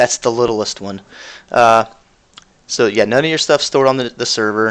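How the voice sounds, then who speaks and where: A man with an ordinary speaking voice talks at a moderate pace and medium pitch, with fairly even intonation. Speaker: cryptocurrency developer answering community questions. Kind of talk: live-stream Q&A. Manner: casual, many fillers.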